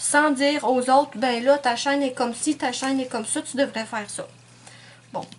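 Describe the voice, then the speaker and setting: Speaking slowly-ish with a Quebec accent, a woman uses a high pitch. Her intonation stays fairly even. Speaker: nail art YouTuber. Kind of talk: casual vlog monologue. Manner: hesitant, many fillers.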